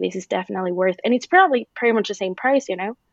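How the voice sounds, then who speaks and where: A woman with a Spanish accent at a very fast pace, with ordinary pitch variation. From Mexico. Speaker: content marketing manager. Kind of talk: interview.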